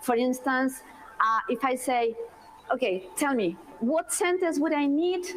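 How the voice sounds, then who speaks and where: Over noticeable background noise, the speech moves at a fairly slow pace with long, frequent pauses, very even loudness and very wide pitch swings. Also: woman, high pitch for a woman. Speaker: university language lecturer. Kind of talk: lecture.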